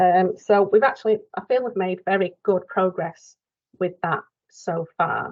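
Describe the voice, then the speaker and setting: Speaking at a fairly slow pace, a woman with a Mancunian accent uses a medium pitch and ordinary pitch variation. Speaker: dialysis nurse presenting a quality improvement project. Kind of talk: project update presentation in online workshop. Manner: hesitant, many fillers.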